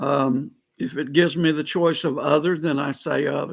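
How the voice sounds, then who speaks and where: Vocal fry at a fairly slow pace, with ordinary pitch variation. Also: man. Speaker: political vlogger. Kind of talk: live stream monologue. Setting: live stream. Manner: loud; halting, many fillers.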